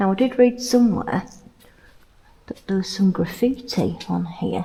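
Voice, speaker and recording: A woman whispers at a fairly slow pace. Noticeable background noise surrounds her. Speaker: travel vlogger. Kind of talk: casual vlog narration. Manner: whispering.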